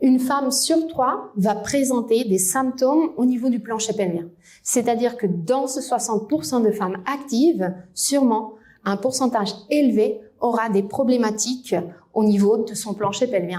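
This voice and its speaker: Speaking with a slight Spanish accent, a woman has a fairly high pitch and a dark, mellow tone. She talks at a fairly slow pace amid audible room echo. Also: ordinary pitch variation. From Spain. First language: Spanish (speaking French). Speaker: physiotherapist and researcher. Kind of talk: conference lecture. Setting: lecture hall with audience.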